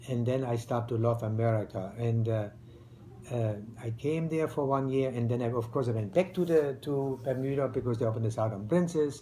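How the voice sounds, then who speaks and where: In a room with audible echo, a man speaks at a moderate pace and medium pitch, somewhat breathy, with a dark, mellow tone and ordinary pitch variation. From East Germany. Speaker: retired restaurateur, immigrant. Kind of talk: interview. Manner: halting, with many fillers.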